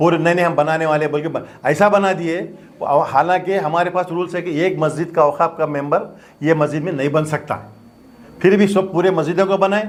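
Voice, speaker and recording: A man speaks at a moderate pace in a high voice. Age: 70s. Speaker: doctor and former mosque committee president. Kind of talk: press statement. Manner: animated.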